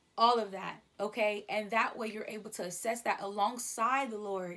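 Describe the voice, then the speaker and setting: The speaker is a woman. Her pitch is fairly high. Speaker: podcast host. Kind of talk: casual monologue. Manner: fast; animated.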